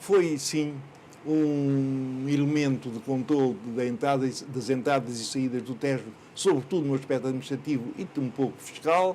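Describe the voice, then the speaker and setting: Fairly even intonation and a dark, mellow tone mark speech delivered at a moderate pace. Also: man, medium pitch for a man. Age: 80s+. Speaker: local historian. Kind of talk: interview. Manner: hesitant, with many fillers.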